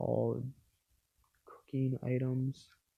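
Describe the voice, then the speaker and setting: The man talks very slowly. Background music can be heard. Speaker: gaming YouTuber. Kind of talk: Minecraft gameplay commentary. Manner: halting; casual, filler-heavy.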